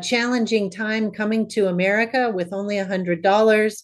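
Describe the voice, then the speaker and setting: Her speech is an ordinary speaking voice, with a woman talking at a fairly high pitch and moderate pace with fairly even intonation. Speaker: podcast host. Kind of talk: interview, scripted intro and outro.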